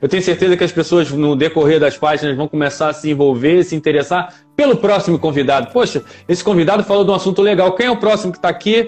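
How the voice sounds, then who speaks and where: Music plays in the background as a man talks at a very fast pace. His pitch is high and his intonation lively. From Rio de Janeiro city, Brazil. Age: 50s. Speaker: podcaster and author. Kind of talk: casual interview on a live stream. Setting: live stream video call.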